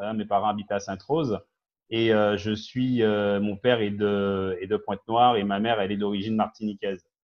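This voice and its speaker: A man speaks at a fairly low pitch and a fairly quick pace. His intonation is monotone and flat. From Guadeloupe, raised in mainland France from age ten. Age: 50s. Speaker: business owner and community activist. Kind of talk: TV talk show interview. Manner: hesitant, many fillers.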